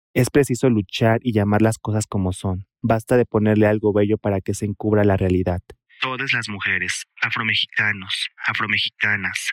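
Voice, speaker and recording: A fairly low-pitched man with monotone, flat intonation, recorded in a dry, close sound with no echo. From Mexico, Oaxaca. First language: Mixtec (speaking Spanish). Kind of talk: interview testimony.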